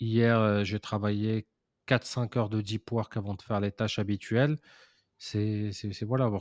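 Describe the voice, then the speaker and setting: A man's fairly low voice, monotone and flat, at a fairly slow pace with long, frequent pauses, dry and close with no echo, on a very clean recording with a silent background. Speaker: podcast co-host, entrepreneur. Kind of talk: casual chat. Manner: casual, slangy.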